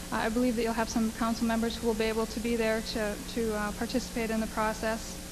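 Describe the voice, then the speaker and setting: Someone with an American accent talks fairly quickly, with noticeable background noise and audible room echo. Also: woman. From US Midwest, Wisconsin (Menominee Reservation). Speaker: lobbyist. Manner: halting, many fillers.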